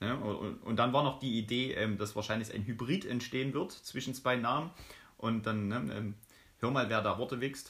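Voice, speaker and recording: The delivery moves at a moderate pace. It is an unremarkable speaking voice. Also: man, medium pitch for a man, ordinary pitch variation. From Saxony, eastern Germany. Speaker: podcast co-host, student. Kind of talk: casual chat.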